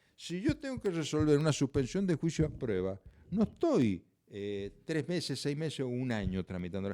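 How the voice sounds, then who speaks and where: Speaking at a fairly quick pace, a man with a dark, mellow tone makes very wide pitch swings. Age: 70s. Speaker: judge and prosecutor. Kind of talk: interview conversation.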